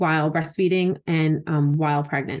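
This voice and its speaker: A woman speaks in an ordinary speaking voice with an American accent, at a fairly low pitch. Her intonation is fairly even, and the background is quiet. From Philadelphia. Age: 30s. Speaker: wellness enthusiast and CBD advocate. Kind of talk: casual interview chat.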